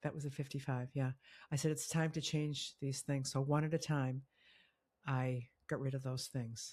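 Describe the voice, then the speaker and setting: A woman's very deep, low-pitched, somewhat breathy voice at a moderate pace, with monotone, flat intonation. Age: 60s. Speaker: interview guest sharing life change story. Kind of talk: casual interview conversation. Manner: halting, with many false starts.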